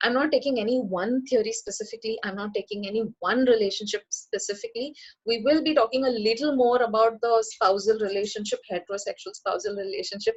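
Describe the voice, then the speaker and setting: Hardly pausing, a woman with a fairly high pitch races along at a very fast pace with ordinary pitch variation. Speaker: psychology professor and counselor. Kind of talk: webinar lecture.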